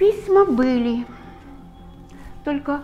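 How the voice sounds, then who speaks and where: With music in the background, a woman speaks in a high pitch with lively intonation. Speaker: stage actress. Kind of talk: poetry reading. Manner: emotional, heartfelt.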